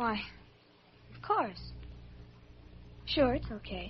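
A woman uses a put-on character voice at a fairly high pitch, talking at a very slow pace with lively intonation and a husky, rough edge.

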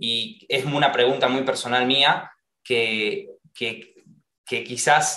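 A man with an Argentine accent and medium pitch speaks at a very slow pace. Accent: Rioplatense Argentine Spanish. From Argentina. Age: 20s. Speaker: actor and singer. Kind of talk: interview conversation. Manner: halting, many repeated words.

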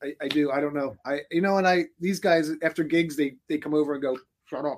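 With an American accent, a man in an unremarkable speaking voice talks at a fairly quick pace, his fairly high pitch held to fairly even intonation. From Philadelphia, US. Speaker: rock band musician. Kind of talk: casual interview chat. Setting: recording studio.

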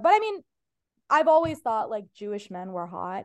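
Against a quiet background, a woman is speaking. She keeps a fairly quick pace. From Ohio, US Midwest. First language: Farsi. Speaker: stand-up comedian. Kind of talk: casual chat.

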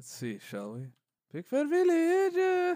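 The man speaks with an American accent. His pace is very slow. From Los Angeles. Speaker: podcast host. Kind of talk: casual chat.

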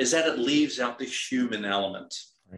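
A man is speaking. He has a Dutch accent. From Netherlands. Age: 50s. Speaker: executive coach and military veteran. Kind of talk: interview. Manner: halting, many repetitions.

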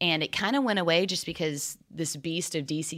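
A woman's very deep, low voice with ordinary pitch variation, a fairly quick pace, and a very clean recording over a silent background. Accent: American. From Texas, Dallas. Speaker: former cheerleader and dance instructor. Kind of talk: casual chat.

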